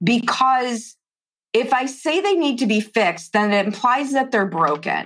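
A woman with a fairly high pitch, lively intonation, and a fairly slow pace.

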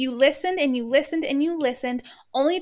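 A woman with a high pitch speaks in a passionate, animated tone with ordinary pitch variation. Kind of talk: pep talk. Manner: emphatic, passionate, direct address; animated, casual swearing, laughs mid-sentence.

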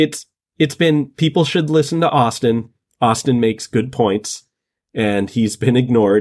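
A man with a slight New England accent, medium pitch, ordinary pitch variation and a fairly slow pace, on a very clean recording with a silent background. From northern Massachusetts, US. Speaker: podcast guest. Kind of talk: casual chat.

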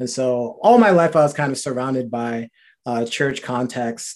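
Speaking in a normal speaking voice at a moderate pace, a man has an American accent. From New Rochelle, New York, US. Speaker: HR worker. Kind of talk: casual faith testimony chat.

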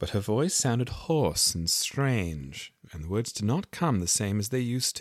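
Someone is plainly reading aloud. The intonation is lively.

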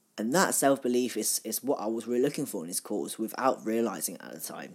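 Dark and mellow in tone, a woman's voice sits at a very deep, low pitch. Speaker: podcast host. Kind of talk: solo monologue. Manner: fast; halting.

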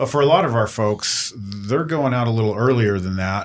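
This is a very clean recording with a silent background. A man with a normal speaking voice and medium pitch talks at a moderate pace. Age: 50s. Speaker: podcast host. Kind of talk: panel discussion.

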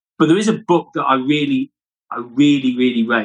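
Here a man speaks with a British accent. His pitch is fairly high. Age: 50s. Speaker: podcast co-host, entrepreneur. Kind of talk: casual chat.

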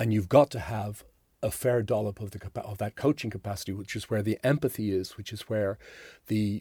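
A man's fairly low, somewhat breathy voice with an Irish accent, a dark, mellow tone and fairly even intonation, in a dry, close sound with no echo on a very clean recording with a silent background. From Ireland. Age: 60s. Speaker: executive performance coach and author. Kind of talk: interview conversation. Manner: halting, many repetitions.

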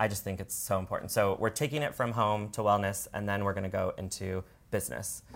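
A man speaks very fast with an American accent, his pitch fairly low and showing vocal fry. His pitch variation is ordinary. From Washington state, US. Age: 30s. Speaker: entrepreneur. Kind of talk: casual chat.

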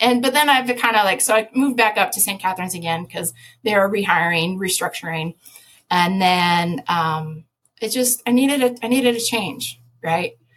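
A woman speaks in an ordinary speaking voice with an American accent. Her intonation is lively and her pace is moderate. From US Midwest. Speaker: conservation advocate and former biologist. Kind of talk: casual interview.

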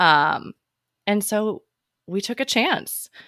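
A woman with a Midwestern American accent, bright, sharp tone and ordinary pitch variation, in a dry, close sound with no echo. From US Midwest, small town in Illinois. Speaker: podcast host and physical therapist. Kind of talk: casual interview. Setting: video call.

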